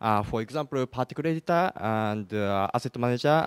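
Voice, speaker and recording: In a Japanese accent, a man talks at a fairly quick pace with a medium pitch and ordinary pitch variation, the sound dry and close with no echo. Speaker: game engine developer, audience member. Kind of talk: audience question. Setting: conference hall with audience. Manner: halting.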